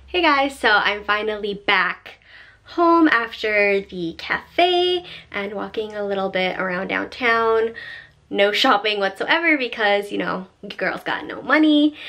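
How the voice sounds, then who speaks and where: Her tone is bright and sharp as the woman talks at a fairly slow pace. Her pitch swings very widely. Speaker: vlogger. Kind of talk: casual vlog chat. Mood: cheerful, animated. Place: home room.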